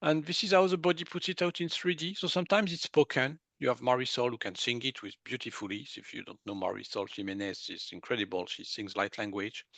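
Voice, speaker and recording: In a dry, close recording with no echo, a man with a French accent speaks fairly quickly at a fairly high pitch, his pitch swinging very widely. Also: quiet background. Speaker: medical intuitive. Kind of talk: interview.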